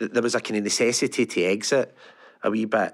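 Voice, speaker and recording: A man with a Lanarkshire accent, medium pitch, fairly even intonation and fairly quick pace, on a very clean recording with a silent background. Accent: Lanarkshire Scottish. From Scotland, Larkhall, Lanarkshire. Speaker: technology business executive. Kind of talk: interview.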